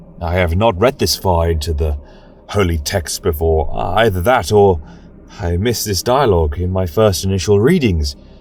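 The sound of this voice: A man's low-pitched voice with a slightly mellow tone. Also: ordinary pitch variation, moderate pace.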